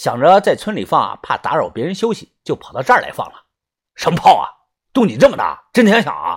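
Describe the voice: Nothing is heard behind the voice but quiet. The delivery is plain reading aloud.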